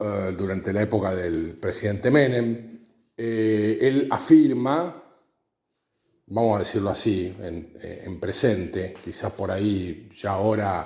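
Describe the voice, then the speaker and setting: A man talks very slowly in a fairly low voice. There is audible echo in the room. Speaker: podcaster. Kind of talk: explanatory monologue. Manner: halting, many fillers.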